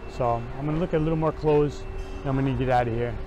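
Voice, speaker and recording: A man speaks over noticeable background noise. The sound is dry, with no echo. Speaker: thrift reseller vlogger. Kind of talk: casual vlog chat. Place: shop. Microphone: phone near.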